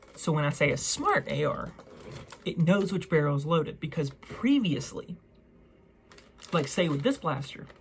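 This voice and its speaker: Against noticeable background noise, a woman with a fairly low pitch uses lively intonation and leaves long, frequent pauses. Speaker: toy blaster reviewer. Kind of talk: product review. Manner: slow; casual.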